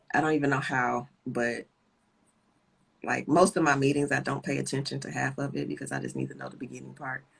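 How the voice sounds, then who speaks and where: A soft-spoken woman talks with an American accent. Her loudness swings widely. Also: fairly quick pace. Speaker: guest with chronic illness. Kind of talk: casual chat. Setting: live stream video call.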